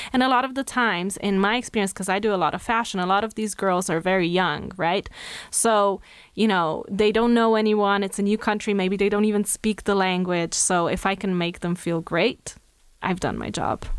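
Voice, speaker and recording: In a Slovenian accent, the speaker keeps a moderate pace and fairly even intonation on a very clean recording with a silent background. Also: woman, medium pitch for a woman. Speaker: makeup artist and hairstylist. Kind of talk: interview chat.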